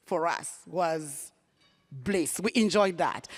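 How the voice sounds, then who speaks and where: Lively intonation carries this very slow voice in an African accent. Music plays in the background, and the sound is dry and close with no echo. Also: woman. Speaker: nonprofit CEO. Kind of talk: panel discussion.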